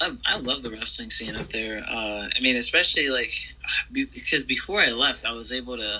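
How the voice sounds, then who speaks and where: Noticeable background noise surrounds a man with an American accent. He speaks at a moderate pace. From US South (Georgia/Florida, military family). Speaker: pro wrestler. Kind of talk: interview. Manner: halting, many fillers.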